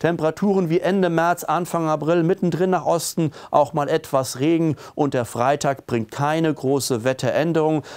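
A man talks at a moderate pace with ordinary pitch variation and hardly any pauses. His loudness stays very even over a quiet background. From Germany. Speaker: weather presenter. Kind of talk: weather report with a forecast walk-through of maps and charts. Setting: studio video presentation with weather maps. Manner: businesslike and matter-of-fact, calmly reading out temperatures and regional details; emphatic and opinionated, pushing the mild-winter message with a friendly, direct address. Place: studio. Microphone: lapel.

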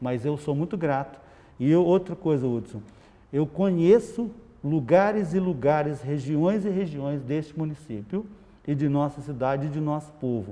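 A man's dark, mellow voice with lively intonation at a fairly slow pace. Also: fairly high pitch for a man. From Minas Gerais, Brazil (São Gotardo area); Minas Gerais, Brazil. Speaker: city council president. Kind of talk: interview. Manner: hesitant with frequent fillers. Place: office. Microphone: lapel.

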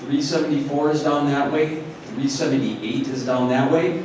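Strong room echo and light background noise mark this recording. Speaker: conference organizer. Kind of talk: announcements. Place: hall. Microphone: pa.

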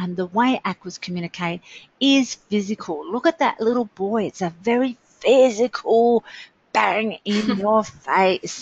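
Some breathiness runs through the voice. The pitch shows ordinary variation. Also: woman. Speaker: webinar presenter. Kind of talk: enthusiastic, informal teaching.

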